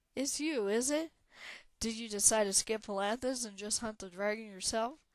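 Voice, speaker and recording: Using a put-on character voice, a woman sounds gruff at a fairly high pitch. She keeps a moderate pace on a very clean recording with a silent background. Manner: teasing, hearty.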